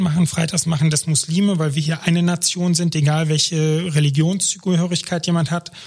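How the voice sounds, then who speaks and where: The man's voice is high in pitch, his pace fairly quick. He speaks with monotone, flat intonation. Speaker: aid organization education expert. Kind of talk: interview.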